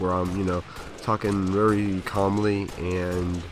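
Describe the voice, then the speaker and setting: A man with a very deep, low pitch talks in fairly even intonation. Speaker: gaming commentator. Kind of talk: gameplay commentary. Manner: many fillers.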